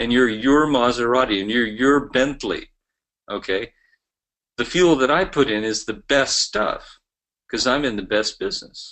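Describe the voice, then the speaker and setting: With long, frequent pauses, a man speaks at a moderate pace with a medium pitch and ordinary pitch variation. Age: 60s. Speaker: network marketing trainer. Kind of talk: motivational business training talk. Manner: animated.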